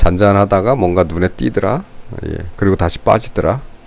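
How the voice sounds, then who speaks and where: A man talks at a fairly low pitch. His pitch variation is ordinary. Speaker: stock market commentator. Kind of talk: unscripted market analysis commentary. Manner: slow; halting, unscripted.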